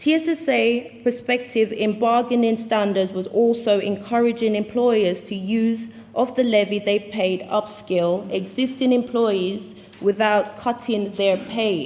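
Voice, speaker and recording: Over noticeable background noise, a woman with a British accent speaks fairly slowly in a fairly high voice, her intonation fairly even and hardly any pauses breaking it up. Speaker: union delegate. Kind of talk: conference speech.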